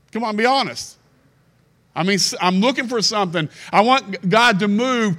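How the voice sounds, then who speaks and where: Over a silent background in a very clean recording, a man with an American accent projects a raised, high, bright and sharp voice. He keeps a moderate pace and ordinary pitch variation. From Kentucky. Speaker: guest preacher. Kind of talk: sermon. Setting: church with congregation. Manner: animated.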